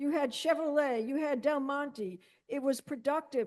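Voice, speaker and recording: A woman's high-pitched voice at a moderate pace. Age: 70s. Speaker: mayoral candidate. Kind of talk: candidate forum answer.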